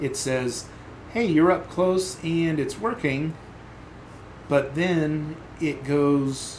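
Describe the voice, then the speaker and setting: A man's fairly high-pitched voice with ordinary pitch variation and audible room echo. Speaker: software developer live streamer. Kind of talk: live coding stream commentary. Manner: thinking aloud, halting; mumbling.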